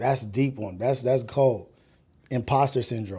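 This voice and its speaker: At a very slow pace, a man speaks in a somewhat breathy, medium-pitched voice with ordinary pitch variation. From US inner city. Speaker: livestream podcast host. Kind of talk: casual livestream monologue. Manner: halting, repeats words.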